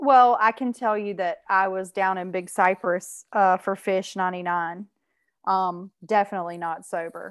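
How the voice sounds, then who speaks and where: A woman's ordinary speaking voice, medium in pitch and fairly even in intonation, over a quiet background. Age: 40s. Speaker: guest. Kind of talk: casual conversation.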